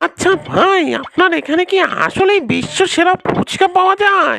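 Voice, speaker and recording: A cartoonish character voice pitched extremely high, delivered at a moderate pace. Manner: expressive, blunt.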